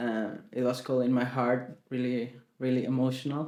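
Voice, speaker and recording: Speaking at a moderate pace with audible room echo, a man with a Spanish accent uses a medium pitch. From Chile. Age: 20s. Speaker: singer-songwriter. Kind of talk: interview. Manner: halting.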